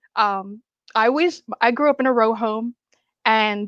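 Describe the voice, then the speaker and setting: This woman has an unremarkable speaking voice. Her pitch sits fairly high, with ordinary pitch variation. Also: dry, close sound with no echo, quiet background. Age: 60s. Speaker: actress. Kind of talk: casual chat.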